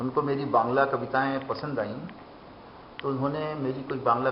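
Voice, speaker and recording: Noticeable background noise and audible room echo throughout. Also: man. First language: Bengali (speaking Hindi). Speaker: writer and poet. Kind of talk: interview.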